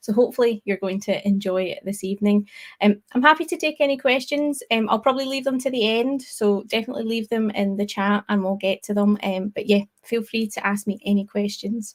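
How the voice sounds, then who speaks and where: Talking at a fairly quick pace with hardly any pauses, a woman with a Scottish accent sounds somewhat breathy in a dry, close sound with no echo. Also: fairly high pitch for a woman, ordinary pitch variation. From Scotland. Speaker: tech speaker, developer advocate. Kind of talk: tech talk presentation. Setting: online live stream.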